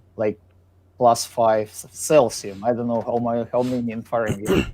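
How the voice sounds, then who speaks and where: A man's dark, mellow voice in a Russian accent, fairly slow in pace, on a very clean recording with a silent background. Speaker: guest musician and residential framer. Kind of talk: casual chat. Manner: halting.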